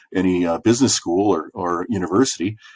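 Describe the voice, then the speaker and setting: Here a man speaks at a moderate pace. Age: 60s. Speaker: small business owner and mentor. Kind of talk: podcast interview. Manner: halting, many fillers and repeated words.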